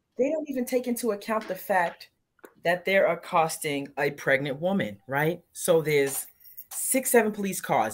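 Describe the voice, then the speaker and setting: A woman's fairly low pitch with very wide pitch swings, at a moderate pace. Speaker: guest co-host. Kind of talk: casual chat. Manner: animated.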